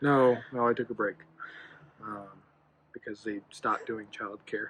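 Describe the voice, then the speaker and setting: The speaker mumbles softly at a fairly slow pace, in an American accent. The intonation stays monotone and flat. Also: man, medium pitch for a man. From Colorado. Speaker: husband of the channel's vlogger. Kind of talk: casual chat. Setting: outdoors on a porch at night. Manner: soft-spoken, quiet; mumbling.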